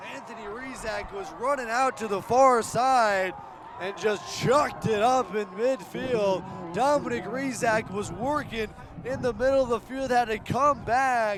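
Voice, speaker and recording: At a fairly slow pace, a man with an extremely high voice speaks with ordinary pitch variation while noticeable background noise carries on. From Omaha, Nebraska. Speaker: sports play-by-play commentator. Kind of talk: sports play-by-play commentary.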